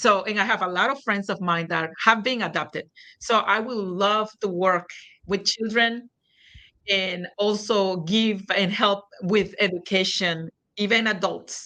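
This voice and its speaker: In a quiet background, a woman speaks at a medium pitch with a bright, sharp tone. Her pace is fairly slow and her intonation fairly even. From Nicaragua. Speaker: real estate sales executive. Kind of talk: interview answer.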